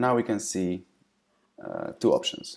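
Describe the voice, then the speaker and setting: A man is speaking. He has a non-native accent. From Eastern Europe. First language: non-English Eastern European language. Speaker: software company representative. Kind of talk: software tutorial. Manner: hesitant, frequent fillers.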